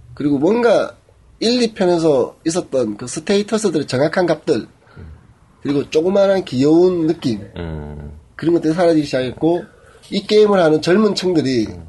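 A man speaks at a moderate pace with a high pitch and lively intonation. He leaves long, frequent pauses. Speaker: podcast co-host. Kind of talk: casual chat. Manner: joking, talkative.

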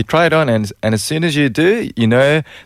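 A man with an Australian accent and lively intonation, on a very clean recording with a silent background. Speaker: radio show regular guest. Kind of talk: reading aloud scenarios. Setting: studio.

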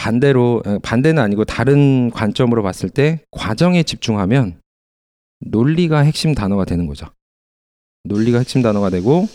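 In a very clean recording with a silent background, a man speaks at a medium pitch and a moderate pace with long, frequent pauses. His tone is dark and mellow, and his intonation is lively. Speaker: math essay tutor. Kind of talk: educational podcast discussion.

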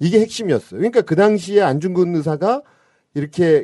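A man's dark, mellow tone with lively intonation. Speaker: historical memorial association official. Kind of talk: radio interview. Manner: animated.

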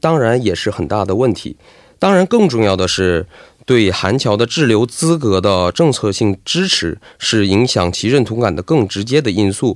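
Over a silent background in a very clean recording, a man with a fairly low pitch talks at a fairly slow pace with lively intonation. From Heilongjiang, China (ethnic Korean). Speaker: graduate student and student association president. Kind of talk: radio interview. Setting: radio studio. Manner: halting, many filler sounds.

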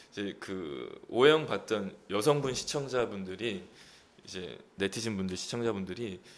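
A man talks at a very slow pace with lively intonation and a slight Gyeongsang accent. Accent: slight Gyeongsang dialect slipping through. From Busan, South Korea. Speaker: actor. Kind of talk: casual chat.

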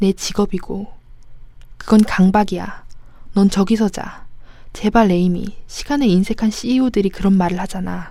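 A woman with a dark, mellow, somewhat breathy tone speaks fairly slowly with long, frequent pauses. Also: medium pitch for a woman, fairly even intonation. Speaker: audiobook narrator. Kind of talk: reading aloud.

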